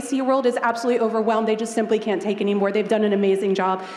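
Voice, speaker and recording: Over noticeable background noise and audible room echo, a woman talks with fairly even intonation. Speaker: eco tour company owner. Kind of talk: audience question at Q&A. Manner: loud.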